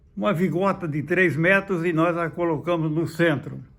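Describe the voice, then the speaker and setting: A very slow man with ordinary pitch variation. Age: 90s. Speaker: former football club president. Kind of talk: interview. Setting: at his home. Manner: halting, repeats words.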